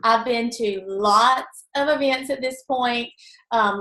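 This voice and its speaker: With a Southern US accent, a woman's fairly high voice has a bright, sharp tone and fairly even intonation. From US South. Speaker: direct sales team member. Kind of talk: testimony.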